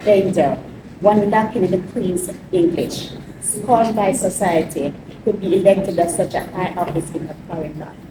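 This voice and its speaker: A woman with a Jamaican accent speaks with ordinary pitch variation against noticeable background noise. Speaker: mayor. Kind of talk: speech.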